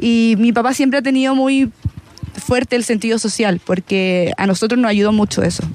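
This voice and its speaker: Her voice is fairly high-pitched, with ordinary pitch variation and very even loudness. Noticeable background noise runs behind her. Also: moderate pace. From Chile, La Pintana. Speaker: volleyball player. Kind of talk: casual interview. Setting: live broadcast from stadium.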